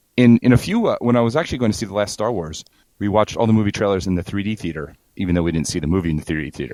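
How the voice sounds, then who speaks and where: A man talks at a very fast pace. His fairly low voice has lively intonation. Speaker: podcast co-host. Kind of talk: casual podcast conversation.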